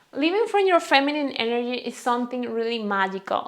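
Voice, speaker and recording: A high-pitched woman with a Venezuelan accent against a quiet background. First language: Spanish. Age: 20s. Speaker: lifestyle vlogger. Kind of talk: casual vlog talk. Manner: halting.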